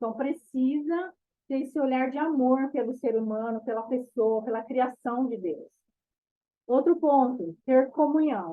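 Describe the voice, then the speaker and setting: Her voice sits high for a woman, moving at a fairly slow pace with ordinary pitch variation. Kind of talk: bible study talk. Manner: animated.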